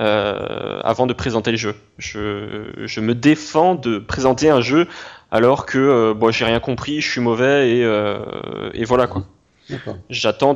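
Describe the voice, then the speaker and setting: Against a quiet background, a man speaks at medium pitch. His intonation is fairly even. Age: 20s. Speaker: YouTuber reviewing browser games. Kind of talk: interview. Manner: halting, many repetitions and fillers.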